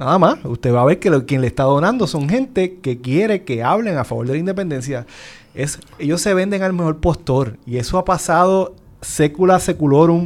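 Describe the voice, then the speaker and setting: He has an ordinary speaking voice with fairly high pitch for a man. His intonation is lively, at a moderate pace. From Puerto Rico, Isabela. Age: 30s. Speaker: physician and senate candidate. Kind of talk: political panel discussion.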